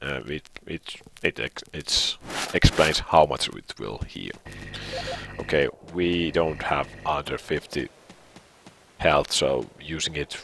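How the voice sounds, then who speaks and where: A man speaks with a Finnish accent at a very deep, low pitch and a fairly slow pace. Noticeable background noise runs underneath. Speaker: gaming video creator. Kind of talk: live gameplay commentary. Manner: halting.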